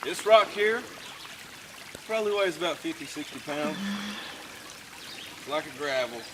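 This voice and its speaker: A man talks at a moderate pace in a high voice with lively intonation, long and frequent pauses, and big swings in loudness. Noticeable background noise runs under the recording. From Eastern Kentucky (Pikeville), Appalachia. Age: 30s. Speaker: coal miner. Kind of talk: casual vlog narration. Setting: outdoors, at an old mine.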